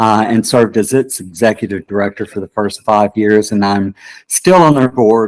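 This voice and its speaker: This man has an ordinary speaking voice, fairly low in pitch with ordinary pitch variation. He keeps a moderate pace in a dry, close sound with no echo. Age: 60s. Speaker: political candidate, theater director. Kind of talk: interview.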